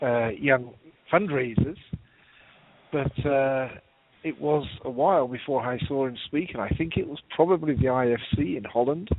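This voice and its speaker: In a British accent, a man speaks at medium pitch and a moderate pace with ordinary pitch variation. He leaves long, frequent pauses. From UK. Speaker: nonprofit consultant. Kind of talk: memorial interview on radio.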